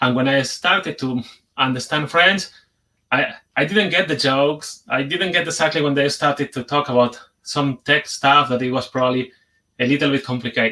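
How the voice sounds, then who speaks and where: A man with a Spanish accent and a fairly high pitch speaks at a moderate pace in a bright, sharp tone with ordinary pitch variation. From Spain. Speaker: conference speaker, software developer. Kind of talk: conference talk. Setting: video call, sharing screen.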